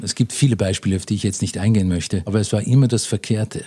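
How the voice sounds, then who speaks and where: A man's somewhat breathy voice has a fairly low pitch and a dark, mellow tone. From Austria, Vienna. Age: 60s. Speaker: businessman in inheritance dispute. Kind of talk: interview.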